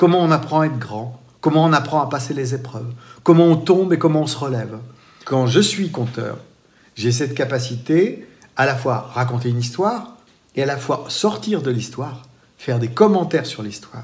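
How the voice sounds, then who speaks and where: In a room with audible echo, a man speaks with a fairly high pitch, a somewhat breathy quality and lively intonation. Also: moderate pace. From France, Vendée. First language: Poitevin-Saintongeais (speaking French). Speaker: storyteller. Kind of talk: interview. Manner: hesitant, with repetitions.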